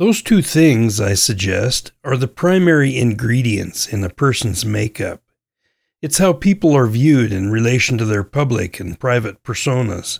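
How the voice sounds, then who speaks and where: With an American accent, a man speaks at medium pitch and a moderate pace in a somewhat breathy voice with lively intonation, in a very clean recording with a silent background. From US West, central Idaho. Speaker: podcast host. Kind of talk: scripted narration.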